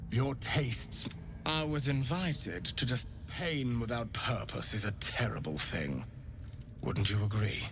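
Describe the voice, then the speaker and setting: A man puts on a character voice at a medium pitch and fairly slow pace. Loud background noise runs underneath. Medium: video game. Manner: smooth, genteel, unsettlingly warm.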